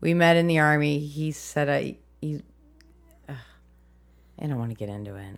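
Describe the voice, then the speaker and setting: At a moderate pace, a woman with a very deep, low pitch and an American accent talks with lively intonation and long, frequent pauses. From US Midwest. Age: 30s. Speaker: filmmaker and army veteran. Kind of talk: casual interview. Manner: rambling, goes off on tangents; excitable, profane.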